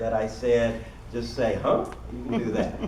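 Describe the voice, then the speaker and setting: Noticeable background noise and audible room echo surround a man who speaks at a fairly slow pace. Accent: American. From Kentucky, US South (Louisville). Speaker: workshop presenter. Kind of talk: seminar presentation. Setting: conference room with audience.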